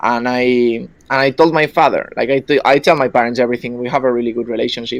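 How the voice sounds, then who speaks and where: A man with a Spanish accent and a medium pitch talks at a very fast pace over a quiet background. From Spain. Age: 20s. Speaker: caller. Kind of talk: personal story on call-in podcast.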